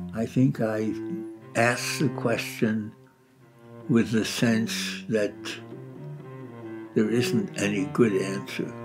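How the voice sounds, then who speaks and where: With music in the background, a man at a medium pitch speaks at a very slow pace, using lively intonation and long, frequent pauses. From Brooklyn, New York. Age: 80s+. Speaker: philosopher. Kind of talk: interview answer.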